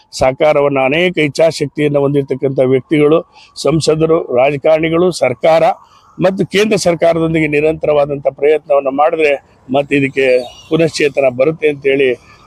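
A man with a fairly high voice speaks with fairly even intonation and very even loudness. The sound is dry and close with no echo, though background noise is noticeable. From Bhadravati, Karnataka, India. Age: 60s. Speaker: economics professor. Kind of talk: interview testimony.

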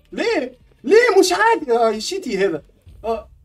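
A man is speaking. His tone is excited. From Tunisia. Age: 30s. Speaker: game streamer. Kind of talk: live gaming stream reactions. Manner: excited, exclamatory.

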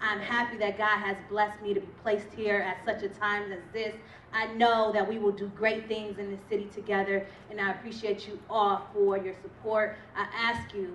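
A woman's monotone, flat delivery at a moderate pace, with light background noise and audible room echo. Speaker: guest. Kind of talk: thank-you speech. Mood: grateful, warm. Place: hall. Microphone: handheld.

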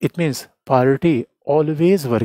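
A man's voice with a dark, mellow tone and ordinary pitch variation, dry with no echo, over a quiet background. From India. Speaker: political science teacher. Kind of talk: lecture. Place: studio. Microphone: headset.

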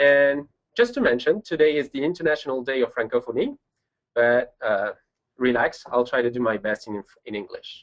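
With a French accent, a man talks at a moderate pace in a fairly high pitch, his intonation lively and broken by long, frequent pauses. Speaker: pediatric and adult congenital cardiologist. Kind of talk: webinar presentation. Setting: online webinar.

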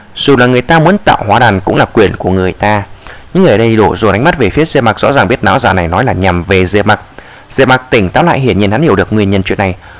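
A man with a fairly low voice talks at a very fast pace with lively intonation. His loudness stays very even over noticeable background noise. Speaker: audiobook narrator. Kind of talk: reading aloud.

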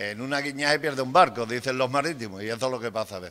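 A man talks at a very fast pace. His tone is bright and sharp, with ordinary pitch variation. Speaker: councillor in debate. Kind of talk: council meeting debate. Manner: loud. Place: meeting room. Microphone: podium.

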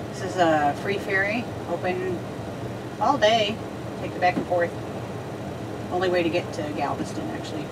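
The speaker moves at a fairly quick pace. Loud background noise fills the recording. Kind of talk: casual vlog chat. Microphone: camera far.

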